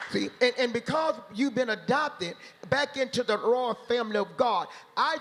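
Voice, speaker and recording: A man talks at a moderate pace with an extremely high pitch. His pitch varies in an ordinary way. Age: 70s. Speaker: pastor. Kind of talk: panel discussion with preaching. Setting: stage with audience.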